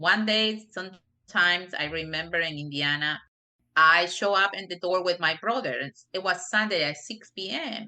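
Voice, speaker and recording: Her voice is bright and sharp, with a strong Spanish accent and a fairly low pitch. This woman speaks at a moderate pace. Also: ordinary pitch variation. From Peru. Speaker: non-profit director. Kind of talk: interview. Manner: frequent you know fillers.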